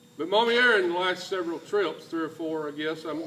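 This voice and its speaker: Through noticeable background noise, a man talks at a moderate pace, his pitch varying in an ordinary way. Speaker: church mission trip leader. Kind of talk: church presentation speech. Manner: folksy, halting.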